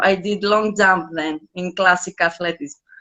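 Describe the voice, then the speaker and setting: A woman's voice with ordinary pitch variation. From Greece, Athens suburb. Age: 30s. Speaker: dance teacher. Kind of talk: interview. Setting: live stream.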